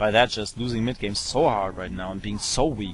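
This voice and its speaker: A man with a fairly low pitch speaks over noticeable background noise. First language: German. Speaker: esports commentator. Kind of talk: live commentary. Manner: hesitant, many fillers.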